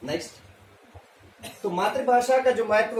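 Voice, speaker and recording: Noticeable background noise and audible room echo around a man's high voice. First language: Marwari (speaking Hindi). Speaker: teacher. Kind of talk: presentation. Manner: halting, many fillers.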